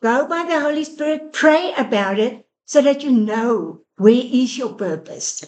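A high-pitched woman at a fairly slow pace with lively intonation and hardly any pauses. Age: 60s. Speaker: charity finance director. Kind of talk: faith-based discussion. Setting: studio.

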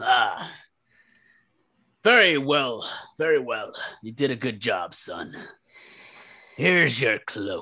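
A man puts on a raspy character voice, fairly high in pitch. He goes at a fairly slow pace with long, frequent pauses. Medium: actual play. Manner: gruff, blunt.

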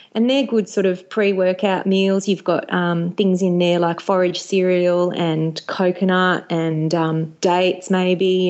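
A woman with an Australian accent, medium pitch and monotone, flat intonation. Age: 40s. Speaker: author and former TV and radio presenter. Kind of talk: casual chat.

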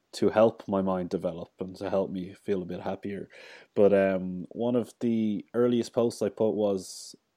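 A man with an Irish accent speaks in a fairly low pitch. His intonation is fairly even, and the background is quiet. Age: 30s. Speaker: podcast host. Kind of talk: casual interview chat.

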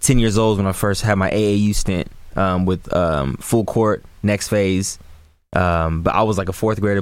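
An ordinary speaking voice with an American accent carries a fairly even intonation. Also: man. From Sacramento, California. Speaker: basketball content creator. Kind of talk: casual interview. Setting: studio.

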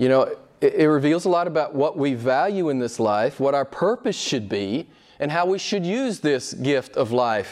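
Speaking at a fairly slow pace, a man uses a fairly high pitch with very wide pitch swings. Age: 60s. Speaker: pastor. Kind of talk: sermon. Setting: church. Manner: halting.

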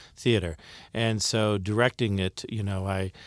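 A man with an American accent and an unremarkable speaking voice speaks at a fairly low pitch and a fairly slow pace. The recording is very clean, the background silent. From Ohio, US Midwest (Akron). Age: 60s. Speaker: stage actor and theater director. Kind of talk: interview.

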